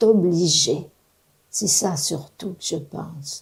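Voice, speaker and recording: The voice comes across as somewhat breathy and moves at a very slow pace. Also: woman. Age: 80s+. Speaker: retiree. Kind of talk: interview testimony.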